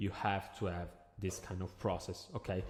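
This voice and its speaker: With an Italian accent, a man speaks at a moderate pace in a very deep, low pitch on a very clean recording with a silent background. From Italy. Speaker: agency owner, business coach. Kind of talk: tutorial. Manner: hesitant, filler-heavy.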